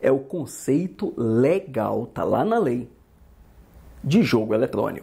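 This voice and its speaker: Very slowly, a man speaks in a dark, mellow tone with vocal fry and very wide pitch swings. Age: 50s. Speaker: law teacher. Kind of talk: lecture. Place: home room. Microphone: lapel.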